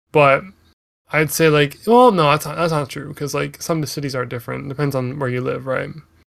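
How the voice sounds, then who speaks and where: This man talks at a fairly quick pace with a Canadian accent. His pitch is fairly high and varies in an ordinary way. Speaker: solo podcast host. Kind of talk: casual monologue. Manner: halting, many fillers.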